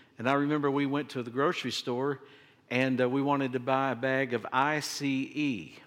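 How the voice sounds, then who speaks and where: Over a very clean recording with a silent background, a man speaks at a moderate pace. His medium pitch holds a monotone, flat intonation. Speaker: pastor. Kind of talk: sermon. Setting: church.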